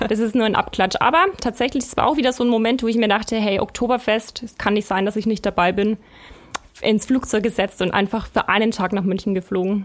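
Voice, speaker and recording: Fairly even intonation from a woman at a fairly quick pace, with noticeable background noise. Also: fairly high pitch for a woman. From Bavaria, Germany. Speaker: magazine editor. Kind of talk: casual chat. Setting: studio.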